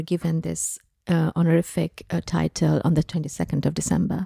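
Recorded very cleanly with a silent background and a dry, close sound with no echo, a woman speaks at a moderate pace in a fairly low, somewhat breathy voice with a dark, mellow tone. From Bangladesh. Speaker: filmmaker. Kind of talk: interview.

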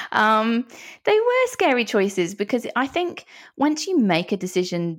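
Lively intonation marks this woman's speech, with an English accent. The recording is very clean, the background silent. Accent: English, noticeable to Australian listeners. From London, England. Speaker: psychologist and author. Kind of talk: interview conversation.

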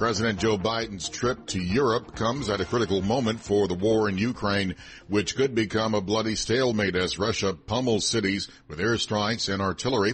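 An unremarkable speaking voice from a man, fairly low in pitch, with fairly even intonation and a moderate pace. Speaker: news anchor. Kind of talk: formal newsreading, steady and urgent breaking-news delivery. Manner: formal.

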